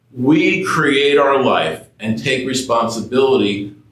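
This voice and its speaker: With an American accent, a man of medium pitch speaks at a very slow pace with ordinary pitch variation, and audible room echo surrounds him. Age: 60s. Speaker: preacher. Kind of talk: sermon. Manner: casual, conversational.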